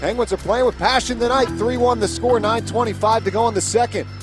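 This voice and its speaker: Over music in the background, a man with an American accent talks at a fairly quick pace in an excited, energetic tone. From Philadelphia suburb, USA. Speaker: radio play-by-play announcer. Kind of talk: live hockey play-by-play radio call. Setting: arena broadcast booth. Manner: fast, excited, energetic.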